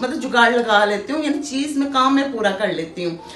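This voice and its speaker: A woman's high-pitched voice at a moderate pace with ordinary pitch variation, amid audible room echo and noticeable background noise. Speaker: cooking vlogger. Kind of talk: casual cooking vlog chat. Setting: home kitchen.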